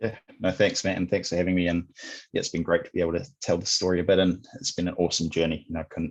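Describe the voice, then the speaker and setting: A man's very deep, low voice with a New Zealand accent, very fast pace, fairly even intonation and a quiet background. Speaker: sales executive at a software company. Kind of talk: podcast interview. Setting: remote call.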